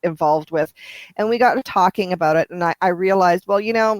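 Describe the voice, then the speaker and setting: Speaking with a Canadian accent, a woman uses a medium pitch and ordinary pitch variation. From Canada. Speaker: romance author. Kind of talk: interview. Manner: halting, many repetitions.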